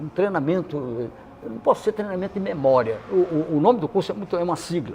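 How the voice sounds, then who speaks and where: A man speaks very fast in a high voice with lively intonation and big swings in loudness, over noticeable background noise. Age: 80s+. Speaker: retired teacher guest on a podcast. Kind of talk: casual interview chat. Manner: halting, many repetitions.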